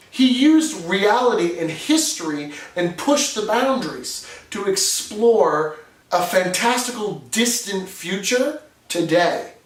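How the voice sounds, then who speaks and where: A man speaks with lively intonation. Noticeable background noise and audible room echo are present. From New England, New Hampshire. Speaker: steampunk hobbyist video host. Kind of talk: scripted explainer video. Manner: reading from a script, obvious.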